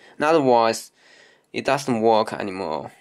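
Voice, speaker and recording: A man with a non-native accent and lively intonation. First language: not English. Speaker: camera hobbyist demonstrating lens teardown. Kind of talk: informal tutorial. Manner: halting, hesitant; apologetic.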